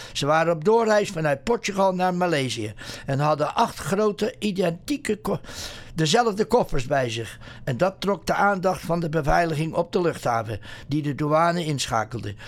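This man's pitch is high and his intonation lively. His pace is moderate. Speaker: radio host. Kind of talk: news reading. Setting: studio. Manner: halting.

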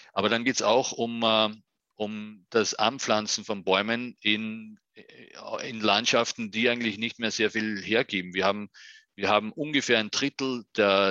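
Speaking at a moderate pace, a man with an Austrian accent has a fairly low voice and monotone, flat intonation. The sound is dry and close with no echo, and the background is quiet. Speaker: UN forestry official. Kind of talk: interview. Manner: halting, repeats words.

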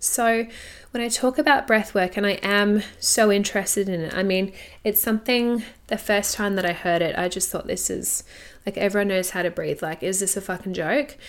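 A medium-pitched woman with an Australian accent, at a moderate pace and with ordinary pitch variation, in a very clean recording with a silent background. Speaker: podcast host, sex and intimacy coach. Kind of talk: solo podcast monologue.

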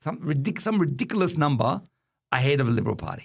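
Man with an Australian accent and lively intonation. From Western Sydney, Australia. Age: 50s. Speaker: Islamic wealth management executive, former politician. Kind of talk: casual chat. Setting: studio.

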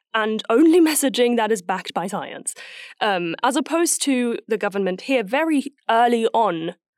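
Dry and close with no echo, a woman speaks at a moderate pace in an ordinary speaking voice with lively intonation. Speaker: voice actor. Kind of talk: casual chat. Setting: remote call.

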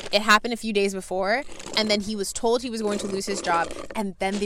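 Noticeable background noise sits behind this woman's voice. She speaks very fast at a medium pitch. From Canada. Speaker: podcast co-host. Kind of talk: casual chat.

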